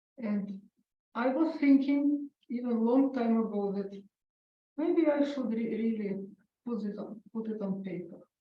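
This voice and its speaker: Audible room echo surrounds a woman speaking at a fairly slow pace. She leaves long, frequent pauses, and her pitch varies in an ordinary way. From Ukraine. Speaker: author and concert pianist. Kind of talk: author talk interview. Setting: library event with audience. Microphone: held too far from mouth, hard to hear.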